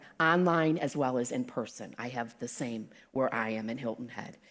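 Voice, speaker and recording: Loud and in a Southern US accent, the voice sounds animated and makes very wide pitch swings. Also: woman. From South Carolina. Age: 60s. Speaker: guest speaker. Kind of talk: sermon. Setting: church with live audience.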